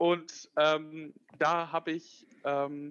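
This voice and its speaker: A man's fairly high-pitched voice. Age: 20s. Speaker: tech startup founder. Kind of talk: interview. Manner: hesitant, many fillers.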